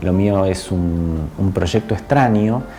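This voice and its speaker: With a Buenos Aires accent, a man speaks very slowly with ordinary pitch variation against noticeable background noise. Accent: Argentine, somewhat Buenos Aires (porteño). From Argentina, born in Córdoba. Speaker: spiritual channeler and energy healer. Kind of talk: casual interview. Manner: hesitant, many fillers and repetitions.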